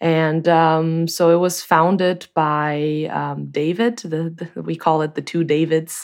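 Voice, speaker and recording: Speaking in a Portuguese accent, a woman goes at a very slow pace. Her intonation is monotone and flat, and the background is quiet. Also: fairly low pitch for a woman. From Brazil. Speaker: sound designer, company co-founder. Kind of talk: interview.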